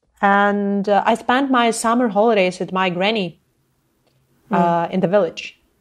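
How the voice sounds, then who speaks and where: A woman with a Ukrainian accent at a fairly slow pace, her medium pitch and fairly even intonation. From Ukraine, Zhytomyr. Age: 30s. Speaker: anti-corruption activist. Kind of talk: interview. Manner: impassioned.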